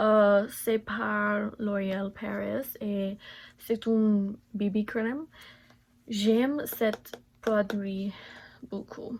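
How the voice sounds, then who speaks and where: At a very slow pace broken by long, frequent pauses, a woman with a medium pitch speaks in fairly even intonation. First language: English (speaking French). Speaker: beauty vlogger. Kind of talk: makeup tutorial. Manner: halting, many hesitations.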